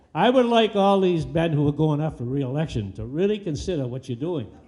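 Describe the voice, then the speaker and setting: An American accent carries very wide pitch swings. Audible room echo surrounds the voice. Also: man. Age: 80s+. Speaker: public commenter, senior citizen. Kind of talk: public comment at city council meeting. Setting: public meeting hall. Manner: animated.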